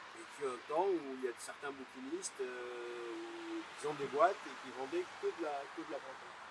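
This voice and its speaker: A man's fairly high pitch with ordinary pitch variation, a fairly slow pace and big swings in loudness, over noticeable background noise. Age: 60s. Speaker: bookseller. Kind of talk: interview. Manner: halting, many hesitations.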